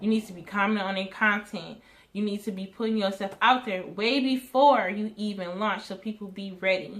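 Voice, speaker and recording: A woman talks in an ordinary speaking voice at a medium pitch and a moderate pace. Her intonation is fairly even, but her loudness swings a lot. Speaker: hair business owner and vlogger. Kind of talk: casual advice talk to camera.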